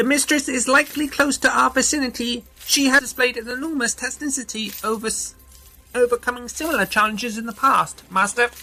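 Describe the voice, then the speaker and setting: A put-on character voice, fairly high in pitch and fairly quick, with faint music in the background. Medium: audio drama. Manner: formal, precise.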